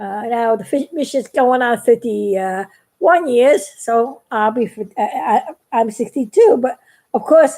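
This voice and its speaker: With a high voice yet a dark, mellow tone, a woman speaks. Her pace is fairly slow, her intonation lively. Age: 60s. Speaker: craft YouTuber. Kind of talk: live stream chat while painting. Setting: live video. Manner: halting.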